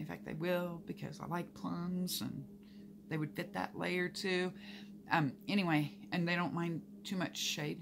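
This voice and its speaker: Amid noticeable background noise, a woman with an American accent speaks at a fairly slow pace. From Oklahoma. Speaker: gardening vlogger. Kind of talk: casual vlog talk to camera. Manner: animated. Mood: relaxed, enthusiastic. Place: home room. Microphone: phone near.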